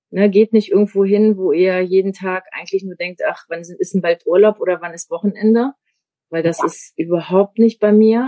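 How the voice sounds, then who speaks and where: A woman talks at a moderate pace in a plain, everyday voice of medium pitch, with ordinary pitch variation and big swings in loudness. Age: 50s. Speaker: media designer turned network marketer. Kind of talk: interview.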